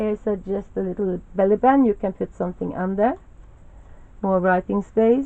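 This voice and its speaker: A woman with a Norwegian accent, medium pitch, at a moderate pace. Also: ordinary pitch variation. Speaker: crafter. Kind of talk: show-and-tell tutorial. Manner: halting, many fillers.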